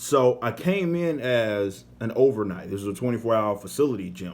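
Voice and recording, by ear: This voice carries an American accent, moving at a moderate pace with ordinary pitch variation. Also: man, fairly low pitch for a man.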